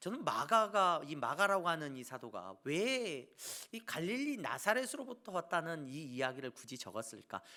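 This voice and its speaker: Pitched high for a man, his bright, sharp voice moves at a moderate pace with very wide pitch swings and big swings in loudness. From South Korea, Jeolla (Suncheon). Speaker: pastor. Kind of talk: sermon.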